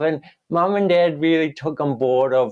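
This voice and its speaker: A man speaks in a New Zealand accent. His intonation is fairly even. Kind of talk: interview.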